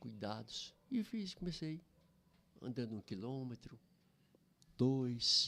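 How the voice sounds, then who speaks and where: A man speaks at a very slow pace, leaving long, frequent pauses. His medium-pitched voice has a bright, sharp tone. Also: lively intonation. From Brazil, Goiás. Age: 70s. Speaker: pastor. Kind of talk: podcast interview.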